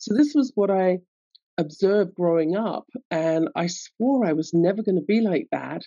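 The speaker has a London accent and keeps a moderate pace. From London, England. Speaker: guest, resilience coach. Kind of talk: casual interview.

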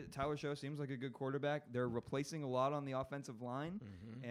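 This is a man with an unremarkable speaking voice, medium in pitch and moderate in pace. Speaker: comedian and college football fan. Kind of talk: casual banter, sports talk.

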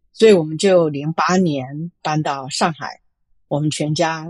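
Against a quiet background, a woman speaks at a very deep, low pitch with fairly even intonation. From Taiwan (Chiayi), moved to US at 15. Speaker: venture capitalist. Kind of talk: interview. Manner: frequent hesitations and Chinese-English code-switching.

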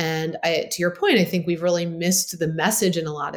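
A woman speaks at a moderate pace in an ordinary speaking voice. Her pitch is fairly low, and she has an American accent. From Baltimore, Maryland, US. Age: 40s. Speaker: physician and health company founder. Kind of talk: interview conversation.

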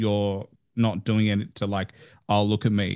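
Someone speaks in an Australian accent against a quiet background. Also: man. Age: 20s. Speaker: podcast host. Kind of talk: casual interview.

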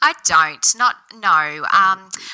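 A woman speaks with an Australian accent in a bright, sharp tone. The sound is dry and close, with no echo. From Australia, Central West New South Wales. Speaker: business owner. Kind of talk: interview.

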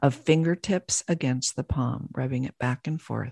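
A woman's voice, dark and mellow, somewhat breathy, with a calm, soothing tone, comes across dry and close with no echo on a very clean recording with a silent background. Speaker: podcast host and business coach. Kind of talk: guided meditation. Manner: slow, calm, soothing.

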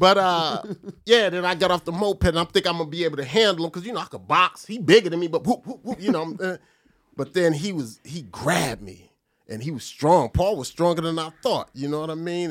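Using an unremarkable speaking voice, a man with an American accent talks at a fairly quick pace and a fairly high pitch, his intonation lively. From New Jersey. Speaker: comedian and podcast host. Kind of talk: casual chat.

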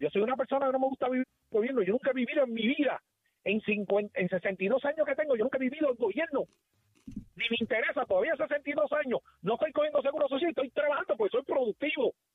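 Extremely high in pitch, a man speaks at a very fast pace. His pitch variation is ordinary and his loudness very even. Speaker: caller. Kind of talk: call-in rant.

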